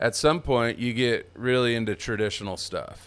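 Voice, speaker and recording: Speaking with an American accent, a man keeps to a fairly slow pace. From California Central Coast. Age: 50s. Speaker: sign painter and artist. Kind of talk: casual chat.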